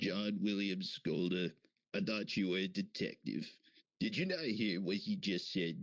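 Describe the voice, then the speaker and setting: A man uses a put-on character voice with a fairly low pitch. He keeps a moderate pace. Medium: audio drama. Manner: exasperated.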